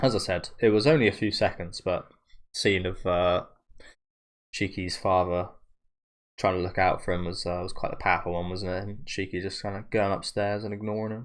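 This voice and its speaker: With a British accent, a man talks at a fairly quick pace and fairly low pitch, his intonation fairly even. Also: quiet background. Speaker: anime reaction youtuber. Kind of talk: casual reaction commentary. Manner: talking a bit funny.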